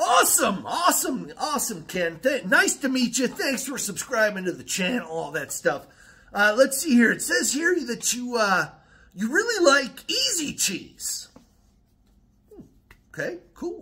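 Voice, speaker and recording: A man with an American accent projects a raised voice at an extremely high pitch and a fairly slow pace, with very wide pitch swings and big swings in loudness. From Wisconsin. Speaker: YouTuber. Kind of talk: casual vlog monologue. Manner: rambling with many fillers. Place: home room. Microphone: phone near.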